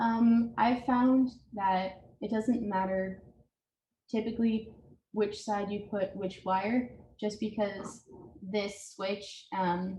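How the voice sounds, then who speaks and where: A woman talks very slowly in a medium pitch with fairly even intonation. Her voice is somewhat breathy, with a dark, mellow tone. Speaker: home repair presenter. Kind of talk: tutorial.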